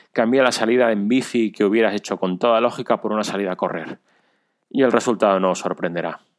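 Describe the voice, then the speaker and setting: In a very clean recording with a silent background, a man speaks very fast at a fairly low pitch with ordinary pitch variation. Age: 40s. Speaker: amateur cyclist and runner, listener. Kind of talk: recorded personal story.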